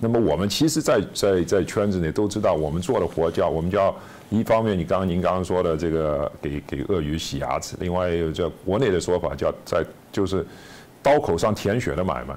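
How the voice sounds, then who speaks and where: With lively intonation, a man speaks in a very deep, low voice. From China. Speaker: author and former businessman; guest. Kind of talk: interview. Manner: halting with repetitions. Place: studio. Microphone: lapel.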